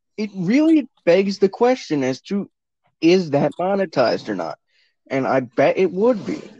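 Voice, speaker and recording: Recorded dry and close with no echo, a man with a dark, mellow tone swings his pitch very widely. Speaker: guest, friend of host. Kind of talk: casual chat. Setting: remote recording.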